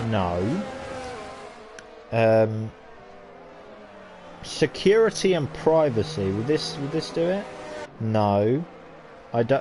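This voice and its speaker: Very slow speech from a man at a medium pitch, with very wide pitch swings, long, frequent pauses and noticeable background noise. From Britain. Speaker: sim racing league commentator. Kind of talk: live commentary. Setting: live stream. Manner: casual, chatty; animated.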